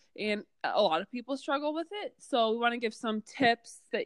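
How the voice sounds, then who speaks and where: A woman uses lively intonation at a moderate pace, her sound dry and close with no echo. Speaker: volleyball podcast co-host. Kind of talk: casual instructional chat.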